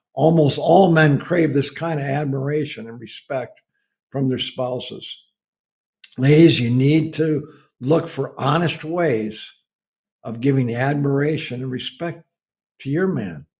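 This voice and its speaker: Somewhat breathy and fairly high-pitched, a man speaks at a fairly slow pace with long, frequent pauses, big swings in loudness and ordinary pitch variation. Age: 70s. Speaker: preacher. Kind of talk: sermon.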